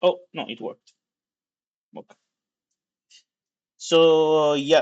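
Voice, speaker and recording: A man with an Italian accent at a very slow pace, against a quiet background. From Italy. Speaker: tech livestreamer, software developer. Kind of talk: live coding stream, casual commentary. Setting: livestream. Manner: casual, animated.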